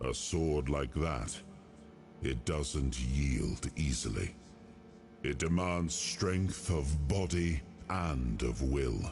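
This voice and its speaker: A man's put-on character voice at a very slow pace, with long, frequent pauses and clear background noise. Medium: video game. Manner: solemn, grave.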